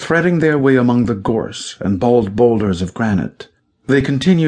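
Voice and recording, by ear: The background is quiet. Someone is reading aloud in a natural voice, with lively intonation.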